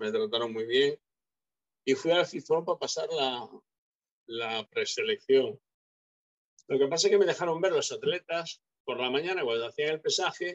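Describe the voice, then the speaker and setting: A man speaks at a high pitch with lively intonation and a moderate pace, leaving long, frequent pauses. The sound is dry and close with no echo. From Galicia, Spain. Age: 50s. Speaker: retired bodybuilder. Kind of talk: interview.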